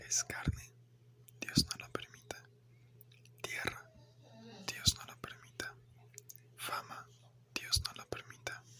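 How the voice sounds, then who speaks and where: The speech is whispered very slowly. Noticeable background noise can be heard too. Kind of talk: whispered ASMR philosophy narration. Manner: whispered, soft.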